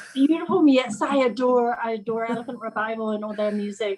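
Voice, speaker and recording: At a very fast pace, a woman with an English accent talks at a fairly high pitch with ordinary pitch variation. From England. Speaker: teacher and gardening volunteer trainee. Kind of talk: casual introduction in a group video call.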